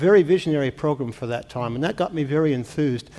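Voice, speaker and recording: An ordinary speaking voice from a man with an American accent, at a fairly quick pace with ordinary pitch variation. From US Midwest (Iowa, Missouri roots). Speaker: climate scientist, professor. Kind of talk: public forum talk. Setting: town-hall forum with audience.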